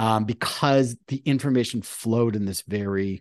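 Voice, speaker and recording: A plain, everyday voice: a man at medium pitch talks at a fairly slow pace with ordinary pitch variation. The sound is dry and close with no echo, over a quiet background. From Canada. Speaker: author and keynote speaker. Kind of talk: casual interview conversation.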